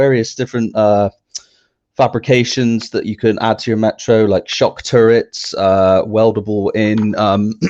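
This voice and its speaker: In a West Country accent, a man speaks at a fairly slow pace. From South West England, Somerset. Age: young. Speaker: car enthusiast, website owner. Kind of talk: interview.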